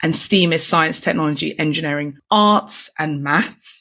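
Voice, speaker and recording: In a London accent, a woman talks with ordinary pitch variation. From East London. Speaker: tech nonprofit founder and author. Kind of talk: interview conversation.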